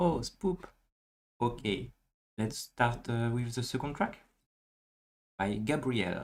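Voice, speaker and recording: A man speaks with a French accent. His pace is very slow. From France. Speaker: music listening stream host. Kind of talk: casual chat.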